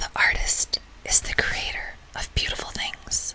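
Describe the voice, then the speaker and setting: Noticeable background noise surrounds a woman who whispers at a very slow pace. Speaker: teacher reading aloud to students. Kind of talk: soft whispered audiobook reading of classic literature. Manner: soft, whispering.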